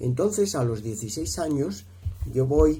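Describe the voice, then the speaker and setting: A dark, mellow tone with vocal fry and lively intonation at a fairly slow pace, with audible room echo. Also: man. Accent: Madrid. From Spain, Madrid. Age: 60s. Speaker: speaker at a marriage prep course. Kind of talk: testimony. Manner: halting, many fillers.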